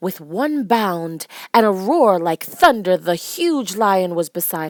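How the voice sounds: A natural reading voice moves along with lively intonation.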